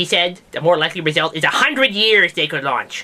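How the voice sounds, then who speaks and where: At a moderate pace, this put-on character voice sits at a middle pitch. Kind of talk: comedic science news talk to camera. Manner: casual, rambling.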